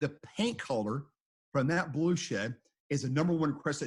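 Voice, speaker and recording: In an Oklahoma accent, a man with a fairly high pitch speaks at a fairly quick pace in an animated, somewhat breathy tone. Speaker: storm chaser. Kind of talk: interview storytelling.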